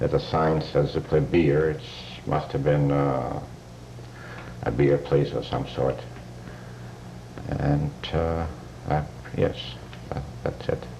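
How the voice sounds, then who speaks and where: Against noticeable background noise and audible room echo, a man with a very deep, low voice speaks fairly slowly with fairly even intonation. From Poland, Markowa. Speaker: Holocaust survivor. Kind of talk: testimony. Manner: halting.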